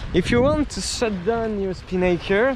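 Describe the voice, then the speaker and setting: Over noticeable background noise, a man with a French accent speaks at a high pitch and moderate pace. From France. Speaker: sailing vlogger. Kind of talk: tutorial. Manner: halting.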